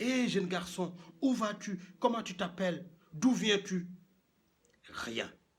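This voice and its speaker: The speaker, a man, talks at a fairly slow pace. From Senegal. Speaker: professional storyteller. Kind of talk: traditional tale told aloud.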